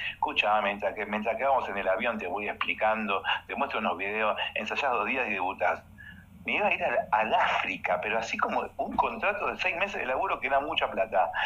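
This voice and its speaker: The man's speech comes fairly quickly. Behind it, background noise is noticeable. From Uruguay, Montevideo. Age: 50s. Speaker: dancer and choreographer. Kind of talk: casual interview chat. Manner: animated.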